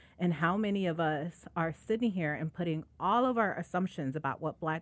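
A woman with a Chicago accent at a fairly quick pace, in a very clean recording with a silent background. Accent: Chicago American English. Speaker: podcast host and nonprofit executive director. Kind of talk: interview conversation.

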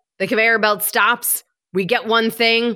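A woman with an American accent speaks at a fairly high pitch, her tone bright and sharp. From Michigan. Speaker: health coach. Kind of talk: interview.

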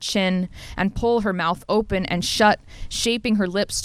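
Simple reading aloud, nothing more

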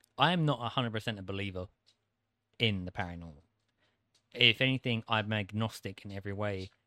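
A man with a British accent and a fairly low pitch talks at a very fast pace, with a bright, sharp tone and long, frequent pauses, on a very clean recording with a silent background and a dry, close sound with no echo. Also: ordinary pitch variation. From UK. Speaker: co-host. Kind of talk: casual chat.

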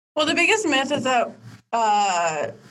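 A woman with an American accent speaks at a fairly slow pace. Audible room echo surrounds her voice. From Miami, Florida (Dominican family). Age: 20s. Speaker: political fundraiser. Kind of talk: casual interview.

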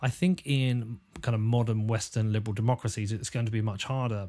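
Somewhat breathy, a man talks at a moderate pace with ordinary pitch variation in a very clean recording with a silent background. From England, Bedford. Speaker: podcast host. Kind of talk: casual interview. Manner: hesitant, many fillers.

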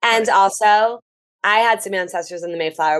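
Over a quiet background, a woman with an unremarkable speaking voice talks at a moderate pace and medium pitch, with ordinary pitch variation. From New Jersey. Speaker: travel writer. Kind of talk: casual chat.

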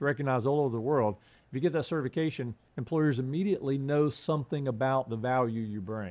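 A man's very fast speech in a Southern US accent, medium pitch with ordinary variation, over a quiet background. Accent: Southern US, persisted. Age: 50s. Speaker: political candidate, retired Marine. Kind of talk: interview, campaign talk.

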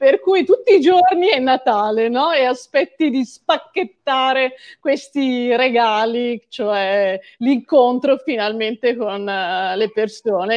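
At a fairly slow pace, the voice shows ordinary pitch variation against a quiet background. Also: woman. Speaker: writer and archaeologist. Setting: video call.

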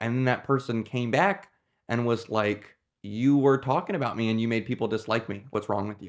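Over a quiet background, a man speaks at a fairly quick pace in an unremarkable speaking voice, medium in pitch with ordinary pitch variation. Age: 20s. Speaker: podcast co-host. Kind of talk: casual discussion.

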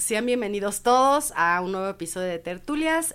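In a very clean recording with a silent background, a woman speaks at a moderate pace and medium pitch, her pitch swinging very widely. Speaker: podcast co-host. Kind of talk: casual chat.

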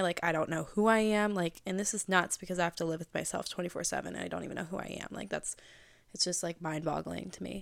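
A woman speaks in a normal speaking voice with an American accent, her pitch fairly low. The recording is very clean, with a silent background. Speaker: podcast host. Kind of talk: casual monologue. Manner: bubbly, casual, many fillers.

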